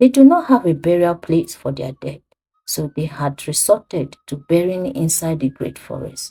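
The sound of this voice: A woman speaks at a fairly slow pace in a low pitch. Her tone is dark and mellow, with a slightly husky edge.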